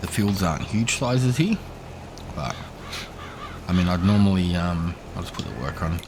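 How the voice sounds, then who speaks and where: Quiet and very deep, this man's voice moves at a moderate pace with lively intonation and long, frequent pauses, heard through audible room echo and noticeable background noise. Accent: Australian. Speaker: gaming streamer. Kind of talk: gameplay commentary. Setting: home, son asleep nearby. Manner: quiet, subdued.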